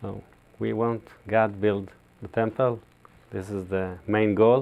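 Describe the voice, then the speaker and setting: A man with a non-native accent speaks at a very slow pace in a fairly low pitch, his intonation monotone and flat. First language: Hebrew. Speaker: rabbi. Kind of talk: interview. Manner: halting.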